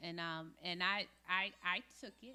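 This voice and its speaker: A woman speaks with a bright, sharp tone. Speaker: school board nominee. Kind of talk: panel discussion talk. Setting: club meeting with audience, microphone. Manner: loud.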